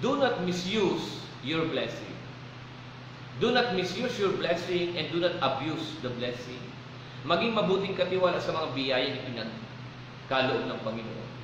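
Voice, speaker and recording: A man with a high, warm voice speaks at a fairly slow pace, his pitch swinging very widely, with long, frequent pauses. Noticeable background noise and audible room echo fill the recording. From Philippines. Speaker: preacher. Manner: warm, exhortative preaching with repeated 'Okay?' check-ins to the congregation; code-switching between Tagalog and English in short punchy parallel lines. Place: church.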